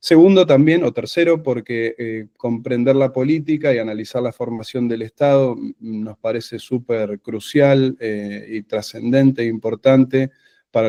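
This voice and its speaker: In an Argentine accent, a man speaks at a fairly slow pace. His tone is dark and mellow, with a dry, close sound and no echo. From Argentina, Buenos Aires. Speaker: secondary school teacher. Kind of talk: conference presentation. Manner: halting, many fillers.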